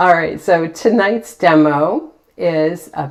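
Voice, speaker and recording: Her pitch is fairly low, and this woman's voice shows ordinary pitch variation. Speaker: painting teacher. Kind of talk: live painting demo chat. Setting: livestream. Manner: animated.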